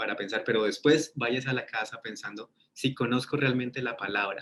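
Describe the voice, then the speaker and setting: This man talks at a moderate pace with a Colombian accent, a medium pitch and ordinary pitch variation. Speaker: ministry teacher. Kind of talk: webinar lecture. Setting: online webinar.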